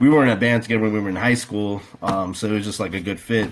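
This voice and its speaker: The speaker talks at a very fast pace. The accent is American. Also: man. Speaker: metal band guitarist and vocalist.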